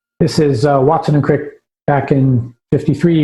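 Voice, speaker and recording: A man at a moderate pace with fairly even intonation, music in the background. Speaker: science history lecturer. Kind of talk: lecture. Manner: halting with many fillers.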